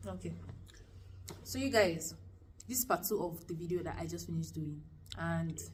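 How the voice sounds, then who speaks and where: Speaking with a Nigerian accent, a woman leaves long, frequent pauses. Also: moderate pace. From Lagos, Nigeria. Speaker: university student. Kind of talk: casual talk to camera.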